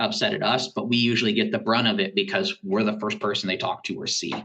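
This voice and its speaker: A man races through his words, his pitch swinging very widely, while background noise is clearly heard. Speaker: school technology director. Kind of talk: podcast interview. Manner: halting.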